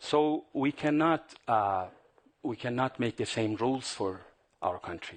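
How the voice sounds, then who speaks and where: A man with a Persian accent speaks at a fairly slow pace, his medium pitch carried by lively intonation. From Iran. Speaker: journalist and regime opponent. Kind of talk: panel Q&A after film screening. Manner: halting.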